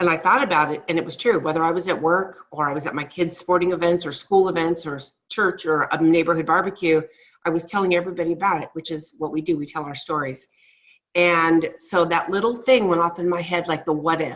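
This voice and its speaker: A woman with an unremarkable speaking voice talks at a fairly quick pace and fairly low pitch, her intonation fairly even. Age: 60s. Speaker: network marketing representative. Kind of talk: testimony. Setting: conference call.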